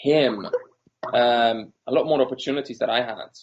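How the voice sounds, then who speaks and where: A man with a Polish accent at a fairly slow pace. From Poland. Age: 30s. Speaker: entrepreneur. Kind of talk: interview.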